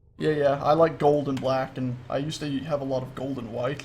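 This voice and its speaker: A man with an American accent and medium pitch talks at a fairly quick pace. His voice is somewhat breathy, and there is audible room echo. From US South, Florida. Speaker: gaming livestreamer. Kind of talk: casual gameplay livestream chat. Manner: animated.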